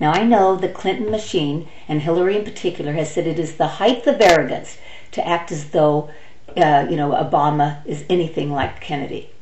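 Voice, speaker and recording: A woman speaks with an American accent at a fairly low pitch and fairly quick pace, with ordinary pitch variation. Audible room echo and noticeable background noise surround her voice. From United States. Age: 60s. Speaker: political vlogger. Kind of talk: opinion monologue. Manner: animated; halting.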